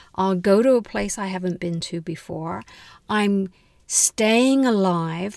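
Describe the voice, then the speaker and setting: A woman speaks at a very slow pace, medium in pitch and with ordinary pitch variation. The recording is very clean, with a silent background. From London, England. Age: 60s. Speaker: podcast guest sharing dating story. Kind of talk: personal storytelling interview.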